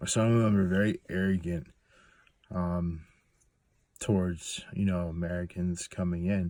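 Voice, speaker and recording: On a very clean recording with a silent background, a man with a very deep, low, dark and mellow voice speaks in a flat monotone at a fairly slow pace, with long, frequent pauses. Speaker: hunting guide. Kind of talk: casual monologue. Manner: halting, many fillers.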